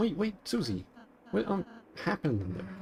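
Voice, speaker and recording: A woman puts on a character voice. She speaks fairly quickly at a fairly low pitch. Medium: virtual streamer. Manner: gentle, hesitant.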